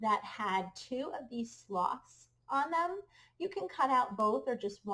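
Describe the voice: Reading aloud, plain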